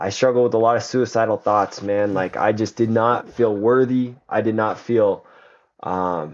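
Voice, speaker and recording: Speaking with an American accent, a man talks at a fairly slow pace. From Colorado. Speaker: teacher. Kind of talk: testimony. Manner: halting.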